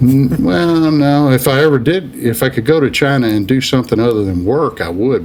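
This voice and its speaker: Over noticeable background noise, a man with an American accent talks at a moderate pace with lively intonation. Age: 60s. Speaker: business executive. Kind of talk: interview. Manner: halting, many fillers.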